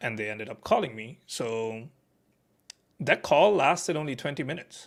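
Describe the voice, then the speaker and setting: A man at a medium pitch, moderate pace, lively intonation and big swings in loudness. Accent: non-native. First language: not English. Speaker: staff software engineer. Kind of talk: interview, casual chat. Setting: live stream. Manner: halting, many fillers.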